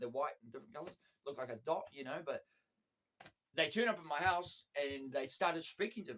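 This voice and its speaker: A man talks at a fairly quick pace in a bright, sharp tone. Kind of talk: testimony. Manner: fast; halting, many fillers.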